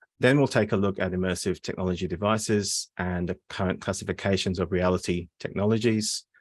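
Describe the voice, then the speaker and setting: A man with a very deep, low pitch speaks at a fairly quick pace. The sound is dry and close with no echo, in a very clean recording with a silent background. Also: fairly even intonation. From England, Surrey. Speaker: postdoctoral researcher. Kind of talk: academic seminar presentation. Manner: hesitant, many fillers.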